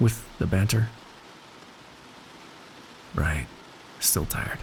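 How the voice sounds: In a put-on character voice, a man speaks at a very slow pace and a low pitch, with ordinary pitch variation.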